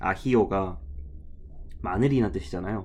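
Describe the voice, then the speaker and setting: A man speaks at a fairly low pitch. His voice makes very wide pitch swings. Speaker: travel vlogger. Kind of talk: vlog voiceover narration. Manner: casual, conversational with self-corrections.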